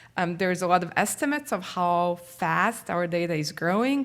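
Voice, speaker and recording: A woman with a medium pitch speaks with lively intonation. The recording is very clean, with a silent background. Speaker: data science researcher. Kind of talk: conference presentation. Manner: fast.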